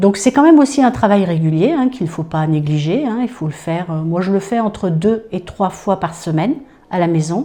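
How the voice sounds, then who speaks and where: This woman's voice sits at a medium pitch with very wide pitch swings. Her pace is moderate. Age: 60s. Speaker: customer giving a testimonial. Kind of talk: testimony. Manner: hesitant, many fillers and repetitions.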